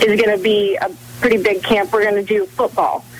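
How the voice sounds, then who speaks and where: A woman at medium pitch is heard over noticeable background noise. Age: young. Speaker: strength and speed coach. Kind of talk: radio interview.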